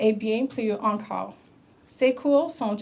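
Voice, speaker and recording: Speaking with an English accent, the voice keeps a very slow pace and fairly even intonation. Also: woman. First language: English (speaking French). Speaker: government minister. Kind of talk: ceremonial speech. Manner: halting.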